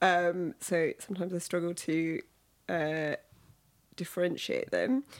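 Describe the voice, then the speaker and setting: In a London accent, the speaker goes at a fairly slow pace with long, frequent pauses and ordinary pitch variation, on a very clean recording with a silent background. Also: woman, fairly low pitch for a woman. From London, England. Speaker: podcast guest, product worker. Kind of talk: casual interview chat.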